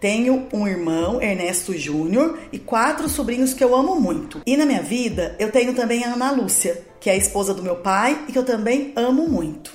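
Very wide pitch swings at a moderate pace with hardly any pauses, over noticeable background noise. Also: woman, high pitch for a woman. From Brazil, Guaratinguetá (São Paulo state). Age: 40s. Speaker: dentist and political candidate. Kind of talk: scripted campaign monologue. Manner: formal.

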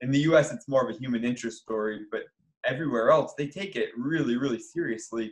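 In an American accent, a man talks at a very fast pace. His pitch sits fairly high. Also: ordinary pitch variation. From Michigan. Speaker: sports psychology professor and paralympian. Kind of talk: interview.

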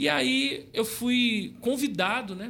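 A man's bright, sharp tone with lively intonation. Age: 40s. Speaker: city councillor and evangelical pastor. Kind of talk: casual interview testimony.

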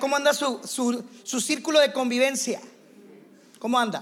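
Speaking at a moderate pace with long, frequent pauses, a man uses an extremely high pitch and fairly even intonation. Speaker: visiting pastor and teacher. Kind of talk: sermon. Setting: church with congregation.

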